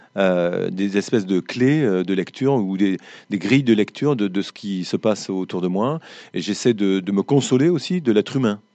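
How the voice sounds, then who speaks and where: A man's fairly low voice moves at a moderate pace, its pitch shifting in an ordinary way. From southwest France, foot of the Pyrenees. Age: 50s. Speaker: writer. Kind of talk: interview with school pupils. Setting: school library with live audience. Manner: frequent word repetitions and hesitations.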